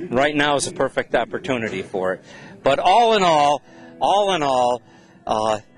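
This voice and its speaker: Over music in the background, a man with a fairly high pitch talks at a moderate pace, swinging his pitch very widely and taking long, frequent pauses. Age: 60s. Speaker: race track owner. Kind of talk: interview. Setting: swap meet. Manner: animated.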